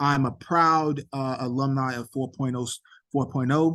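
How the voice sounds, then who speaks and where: A man's medium-pitched voice with an American accent, flat and monotone in intonation. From New York City (Queens). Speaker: nonprofit director and event host. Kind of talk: virtual event presentation. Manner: hesitant, many fillers.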